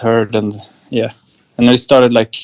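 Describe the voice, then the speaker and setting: This man speaks with a Swedish accent. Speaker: electronic musician. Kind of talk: interview. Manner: halting.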